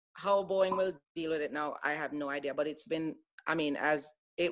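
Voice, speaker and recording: A woman speaks in an American accent with a very deep, low pitch. Her pace is moderate and her intonation fairly even. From Jamaica. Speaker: former airline pilot. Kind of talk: casual interview. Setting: podcast.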